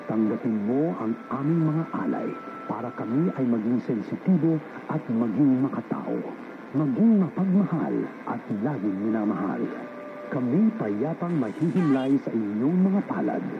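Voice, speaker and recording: Pitch leaps up and down over a very wide range while noticeable background noise carries on underneath. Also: man, medium pitch for a man, moderate pace. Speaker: radio station announcer. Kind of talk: station sign-off prayer and ident, read solemnly. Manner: formal, solemn, measured.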